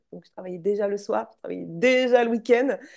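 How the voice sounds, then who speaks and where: A woman speaks with music in the background. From France, Charente. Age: 40s. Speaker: entrepreneur, former school teacher. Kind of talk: interview.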